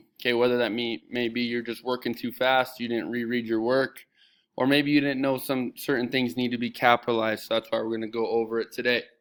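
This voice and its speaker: Over a silent background in a very clean recording, a man with a medium-pitched voice talks at a very fast pace. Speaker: middle school teacher. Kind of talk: tutorial. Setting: recorded video lesson with screen share. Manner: animated.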